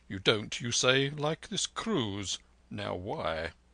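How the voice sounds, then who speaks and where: A man puts on a character voice at medium pitch, speaking very slowly. The sound is dry and close, with no echo. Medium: read story. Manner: calm, reasonable.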